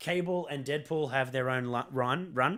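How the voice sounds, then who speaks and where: A man with lively intonation and a bright, sharp tone. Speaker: film podcast co-host. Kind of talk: casual debate about a film.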